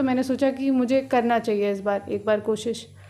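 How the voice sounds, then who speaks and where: A woman speaks in a high voice. Her intonation is flat and monotone. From Bihar, India. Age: 20s. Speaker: village council candidate; council candidate. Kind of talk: interview. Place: home room. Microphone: handheld.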